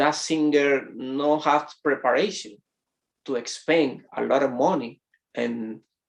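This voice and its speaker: At a very slow pace, a man with a Spanish accent speaks in a fairly high pitch with ordinary pitch variation. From Dominican Republic. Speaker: pastor. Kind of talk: sermon. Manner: halting.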